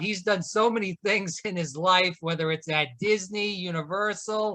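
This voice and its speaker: Raising and projecting his voice, a man speaks fairly slowly at a high pitch with a bright, sharp tone. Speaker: podcast host. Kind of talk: podcast interview hosting.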